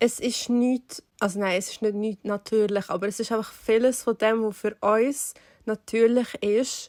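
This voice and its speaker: Speaking in a Swiss accent, a woman uses fairly high pitch and monotone, flat intonation at a fairly slow pace, with a dry, close sound with no echo. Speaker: podcast co-host. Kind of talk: casual podcast conversation.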